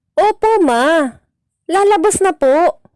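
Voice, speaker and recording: A woman's put-on character voice, squeaky and extremely high-pitched, with lively intonation at a very slow pace, dry and close with no echo. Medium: read story. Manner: soft, shy.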